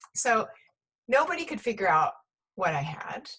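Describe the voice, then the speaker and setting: A woman speaking at a moderate pace. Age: 60s. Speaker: pediatrician. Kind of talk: interview.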